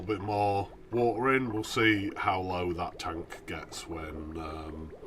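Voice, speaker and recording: A man with a British accent, with audible room echo and noticeable background noise. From Britain. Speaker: video game streamer. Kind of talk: live stream gameplay commentary. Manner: halting, many fillers.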